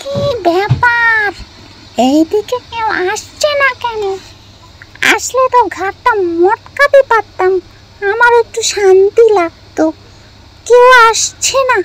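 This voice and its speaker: In a cartoonish character voice, a female-sounding speaker pushes her pitch extremely high. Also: fairly slow pace. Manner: brash, bossy.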